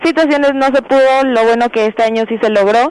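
Over noticeable background noise, a woman speaks at a moderate pace with a high pitch and fairly even intonation. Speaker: student council member. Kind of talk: radio interview.

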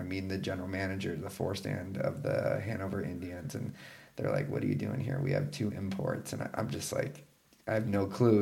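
A man speaks at a fairly quick pace with a Texan accent. His pitch varies in an ordinary way, and the room echo is audible. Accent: Texan American English. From Texas, San Antonio area. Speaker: professional ice hockey player. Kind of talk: casual interview.

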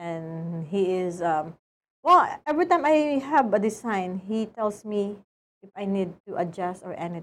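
Speaking in a Filipino accent at a fairly slow pace, a woman uses a medium pitch, lively intonation and big swings in loudness. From Philippines. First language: Tagalog. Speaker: boutique owner. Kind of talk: interview. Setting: studio.

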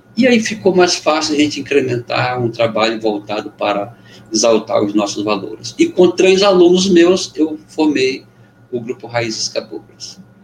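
Over noticeable background noise, a man talks at a moderate pace in a fairly high pitch, his voice swinging very widely in pitch. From Amazonas interior, Brazil (Benjamin Constant). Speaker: poet, musician and former teacher. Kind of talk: casual interview chat. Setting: video call.

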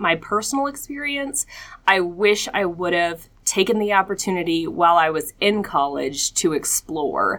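In a very clean recording with a silent background, a woman with an American accent talks at a moderate pace, her medium pitch carried by lively intonation and a bright, sharp tone. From US South (Atlanta, Georgia). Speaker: nonprofit marketing director, former news anchor. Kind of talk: interview.

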